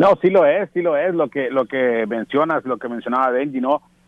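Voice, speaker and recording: A man talks at a fairly quick pace in a normal speaking voice. His pitch sits fairly high, with ordinary variation. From Tijuana, Mexico. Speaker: baseball radio broadcaster. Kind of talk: casual interview.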